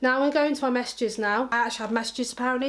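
At a very fast pace, a woman talks in a high pitch with fairly even intonation. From England. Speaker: YouTuber. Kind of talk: casual vlog. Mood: amused, joking. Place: home room.

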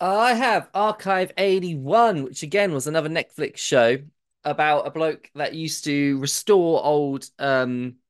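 With a British accent, a man talks fairly slowly in a fairly high pitch. His intonation is lively, and the background is quiet. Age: 30s. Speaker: podcast panelist. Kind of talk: casual chat.

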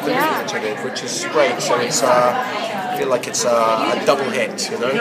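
A man speaks fairly quickly while loud noise fills the background. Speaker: actor. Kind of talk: interview answer. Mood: cheerful, animated. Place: hall. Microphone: handheld.

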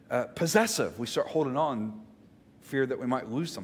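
A man with a Southern US accent speaks at a very fast pace. His pitch is fairly high and swings very widely. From Mississippi, US South. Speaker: pastor. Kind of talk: sermon. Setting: church. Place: church. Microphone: headset.

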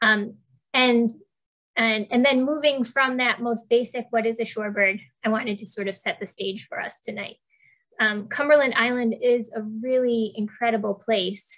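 A woman with an American accent, fairly high in pitch, at a moderate pace with fairly even intonation against a quiet background. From Western New York; New York State. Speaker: shorebird biologist; presenter. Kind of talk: online presentation. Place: home room. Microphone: earbuds.

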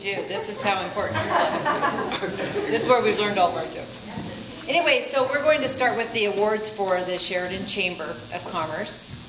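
Noticeable background noise sits under a woman speaking at a moderate pace. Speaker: chamber of commerce presenter. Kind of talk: awards presentation. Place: hall. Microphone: podium.

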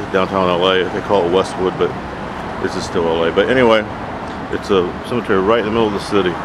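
With a very deep, low pitch and fairly even intonation, a man speaks very fast over noticeable background noise in a dry sound with no echo. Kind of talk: casual vlog chat. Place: open country. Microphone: phone near.

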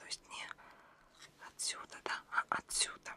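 A soft-spoken voice whispers at a fairly slow pace. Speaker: ASMR creator. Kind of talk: soft-spoken ASMR magazine show-and-tell. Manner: soft close ASMR whisper.

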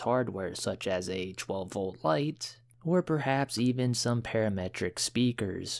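An unremarkable speaking voice from a man, lively in intonation, in a very clean recording with a silent background. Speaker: electronics hobbyist. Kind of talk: casual DIY tutorial talk to camera.

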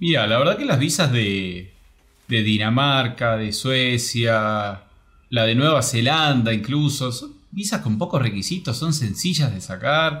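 Here a man talks at medium pitch and a fairly slow pace. Audible room echo surrounds his voice. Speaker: travel program creator. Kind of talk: interview.

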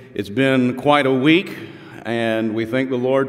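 A man's intonation stays fairly even. Behind him, music plays. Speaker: pastor. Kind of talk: church welcome and announcements, then prayer. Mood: warm, grateful. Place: church. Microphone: podium.

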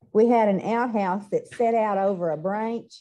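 In a Texas accent, a woman talks at a moderate pace with ordinary pitch variation. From Gatesville, Texas. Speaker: interviewee. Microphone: video call.

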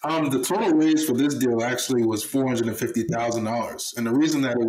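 In an American accent, a man talks with fairly even intonation. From Baltimore, Maryland. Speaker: former pro football player, real estate investor. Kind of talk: podcast interview. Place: home room.

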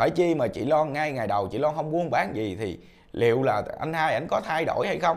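With a quiet background, the speaker moves at a moderate pace and swings very widely in pitch. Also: man. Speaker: online commentary vlogger. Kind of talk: casual commentary monologue. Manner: animated. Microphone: lapel.

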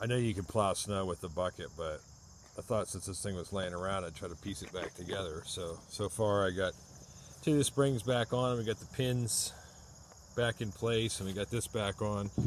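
Over light background noise with a dry, echo-free sound, a man speaks at a moderate pace in a fairly low pitch with ordinary pitch variation. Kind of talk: casual vlog chat. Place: farm machine. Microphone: phone near.

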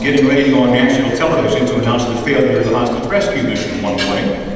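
Through strong room echo and light background noise, a man speaks at a fairly high pitch with lively intonation. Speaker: radio host. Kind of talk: award ceremony speech. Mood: admiring, anecdotal. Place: hall.

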